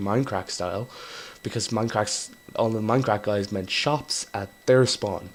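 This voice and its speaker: A man with an Irish accent talks at a moderate pace. His fairly low voice keeps a fairly even intonation. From Ireland. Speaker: gaming YouTuber. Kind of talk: casual gameplay commentary. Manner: rambling, hesitant with fillers.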